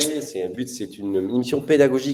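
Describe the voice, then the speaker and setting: The man's voice sits at a medium pitch with ordinary variation. He talks at a fairly quick pace. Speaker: sales prospecting coach. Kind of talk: live-streamed cold-call coaching show. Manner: animated; fast.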